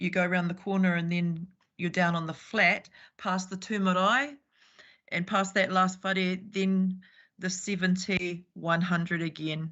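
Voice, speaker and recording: A woman with a New Zealand accent speaks at a medium pitch. Her pace is fairly slow and her intonation fairly even. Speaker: public submitter at council hearing. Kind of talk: formal submission. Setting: video call.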